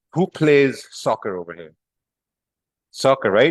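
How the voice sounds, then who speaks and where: This man speaks at a medium pitch with a Pakistani accent. The sound is dry and close, with no echo. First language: Urdu. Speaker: trading teacher. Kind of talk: live class. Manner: casual.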